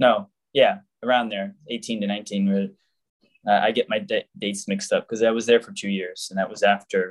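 A man with an American accent at a fairly quick pace, in a dry, close sound with no echo. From US South, Jacksonville, Florida. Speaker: religious brother, deacon candidate. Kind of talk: interview.

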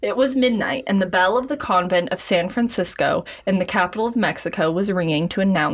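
The clip holds an unforced reading voice. That voice carries the whole recording.

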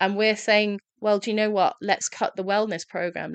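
A woman with a London accent talks at a moderate pace. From London, England. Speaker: hospitality professional and recovery advocate. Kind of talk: interview conversation.

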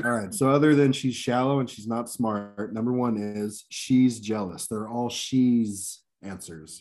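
This is an ordinary speaking voice with ordinary pitch variation. The pace is fairly slow, with hardly any pauses. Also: man, medium pitch for a man. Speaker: game show host. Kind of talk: game show host reading survey questions and ruling on answers.

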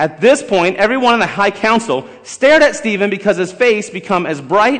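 A natural voice reading aloud

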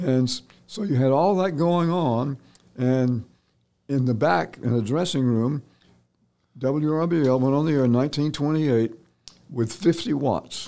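A man with an American accent, fairly high-pitched with a dark, mellow tone, very slow with long, frequent pauses and ordinary pitch variation. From US South, Columbus, Georgia. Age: 80s+. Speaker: retired TV news anchor. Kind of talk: casual interview, reminiscing.

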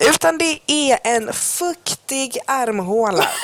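Noticeable background noise sits behind a woman's fairly high pitch. Her voice moves in very wide pitch swings. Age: 20s. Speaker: podcast co-host. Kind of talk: casual chat. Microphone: cheap earphone mic.

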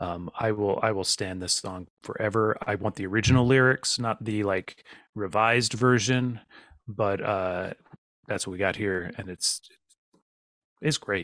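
Slow-paced with long, frequent pauses, a man of fairly low pitch speaks in an American accent with a dry, close sound and no echo. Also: fairly even intonation, very clean recording, silent background. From Virginia, US. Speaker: podcast host and songwriter. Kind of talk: casual chat.

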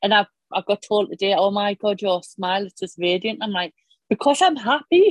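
A woman speaks with a Northern Irish accent in a dry, close sound with no echo. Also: medium pitch for a woman, ordinary pitch variation, moderate pace. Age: 40s. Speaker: cold water swimmer. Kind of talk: casual interview.

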